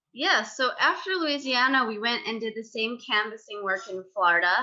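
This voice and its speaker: A woman's unremarkable speaking voice, fairly high in pitch with lively intonation, at a moderate pace with an American accent. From New York. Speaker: former disaster relief corps member, writer. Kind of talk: podcast interview.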